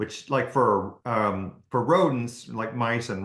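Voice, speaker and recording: The man's delivery holds a moderate tempo. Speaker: ophthalmologist and author. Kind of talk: interview. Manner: halting, many fillers and restarts.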